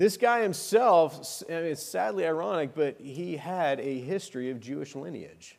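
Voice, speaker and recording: A man with an American accent, his pitch fairly high and swinging very widely, at a moderate pace. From Arizona. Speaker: lay preacher. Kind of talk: sermon. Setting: church.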